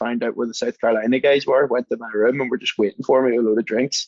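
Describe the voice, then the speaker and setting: A man with an Irish accent is heard in a dry, close recording with no echo. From Northern Ireland, Belfast. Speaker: mixologist and engineer. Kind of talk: casual chat. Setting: podcast recording. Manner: animated storytelling.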